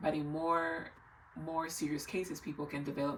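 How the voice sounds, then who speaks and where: A woman speaks in a very deep, low pitch. Noticeable background noise runs underneath. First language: not English. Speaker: health vlogger. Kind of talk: casual explainer vlog.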